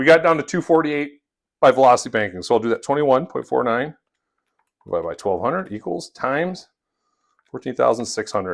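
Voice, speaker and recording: A man's fairly high voice at a very fast pace, with vocal fry, lively intonation and long, frequent pauses. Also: very clean recording, silent background. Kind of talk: tutorial. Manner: casual, conversational.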